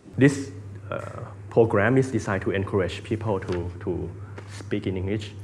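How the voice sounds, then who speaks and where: The speaker uses a Thai accent with fairly even intonation and long, frequent pauses. Noticeable background noise is present. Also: man, fairly low pitch for a man, moderate pace. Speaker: interviewer. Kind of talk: interview.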